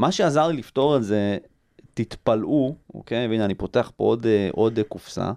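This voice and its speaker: Dark and mellow in tone, a man's medium-pitched voice moves at a moderate pace with ordinary pitch variation. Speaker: publisher and tech entrepreneur. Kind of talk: interview conversation. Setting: studio. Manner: repeats words, fillers.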